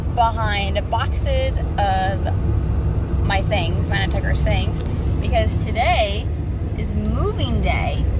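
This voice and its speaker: A woman talks at a very slow pace. The sound is dry with no echo, and the background noise is loud. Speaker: vlogger. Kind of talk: casual vlog chat. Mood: excited, chatty. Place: car. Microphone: phone near.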